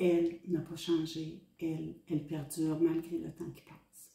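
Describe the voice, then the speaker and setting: A woman's dark, mellow tone at a very slow pace. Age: 70s. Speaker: hospice volunteer. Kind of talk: testimony. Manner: hesitant, with frequent fillers.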